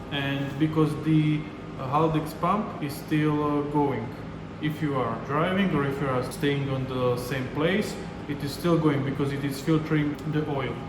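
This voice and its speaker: A man speaks at a fairly slow pace with a fairly high pitch and fairly even intonation. Noticeable background noise and audible room echo are in the recording. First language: not English. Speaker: DIY car mechanic, channel host. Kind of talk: tutorial. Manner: halting, many filler uh.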